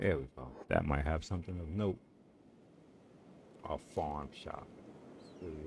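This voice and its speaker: With a very deep, low pitch and vocal fry, a man speaks at a fairly slow pace with ordinary pitch variation. His loudness swings widely, and he takes long, frequent pauses. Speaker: gaming streamer. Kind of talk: casual gameplay commentary.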